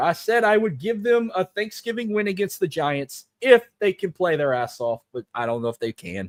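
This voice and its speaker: The recording sounds dry and close with no echo as a man talks fairly quickly in a high pitch, swinging very widely in pitch. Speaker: sports podcast host. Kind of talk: sports talk show monologue. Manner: animated.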